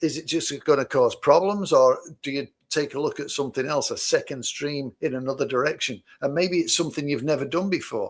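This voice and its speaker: A man's fairly high voice with ordinary pitch variation at a fairly quick pace, in a very clean recording with a silent background. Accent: Mancunian. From Manchester, England. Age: 60s. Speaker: podcast co-host and business owner. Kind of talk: casual chat.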